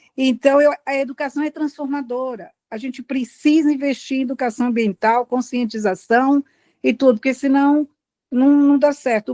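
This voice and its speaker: Recorded dry and close with no echo against a quiet background, a woman talks at a moderate pace in a high pitch with fairly even intonation. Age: 70s. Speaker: meeting participant, local resident. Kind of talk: public comment in online meeting.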